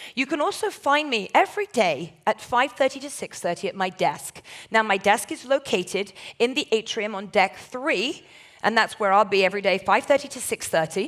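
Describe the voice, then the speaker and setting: Animated and lively in intonation, a woman with a southern English accent speaks at a fairly high pitch and a moderate pace. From southern England. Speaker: port shopping ambassador, former journalist. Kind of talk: presentation to audience, sales pitch. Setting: stage with audience, recorded.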